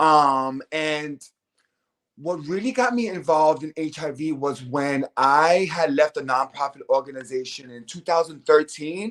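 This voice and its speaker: With an American accent and a normal speaking voice, a man talks at a fairly slow pace and fairly high pitch, his pitch varying in an ordinary way while his loudness swings widely. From New York City, Lower East Side. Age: 40s. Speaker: HIV social services worker. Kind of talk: interview. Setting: live stream.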